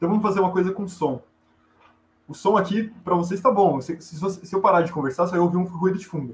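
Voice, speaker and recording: A man with a high pitch at a very fast pace. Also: ordinary pitch variation. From Brazil, Goiás (Goiânia). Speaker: astronomy student and astrophotographer. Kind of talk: explanatory interview chat.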